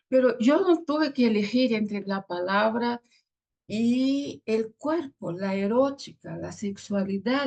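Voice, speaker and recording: A woman speaks very slowly at a fairly high pitch. Her voice is somewhat breathy, with lively intonation. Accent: Brazilian. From Brazil. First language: Portuguese (speaking Spanish). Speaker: theologian and pastor. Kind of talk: interview. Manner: halting.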